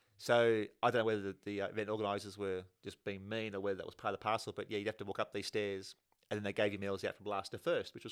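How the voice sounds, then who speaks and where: Very fast and monotone, a man with a fairly low pitch speaks in an Australian accent with flat intonation. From Australia, Penrith (western Sydney). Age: 40s. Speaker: amateur runner and triathlete. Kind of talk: casual chat. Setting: sharing one mic with host.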